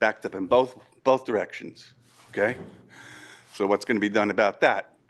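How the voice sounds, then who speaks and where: Fairly quick speech in a New York accent. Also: man. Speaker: local resident. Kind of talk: public comment. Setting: public meeting. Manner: loud.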